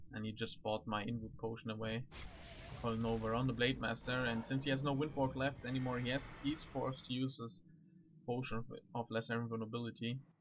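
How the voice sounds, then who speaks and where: Speaking at a very fast pace, a man has a non-native accent and a medium pitch. His intonation is monotone and flat. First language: not English. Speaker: gaming commentator. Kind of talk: game commentary. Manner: halting.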